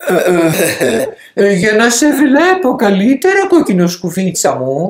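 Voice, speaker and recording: The speaker uses a put-on character voice. The pitch sits fairly high. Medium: read story. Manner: sly, falsely sweet.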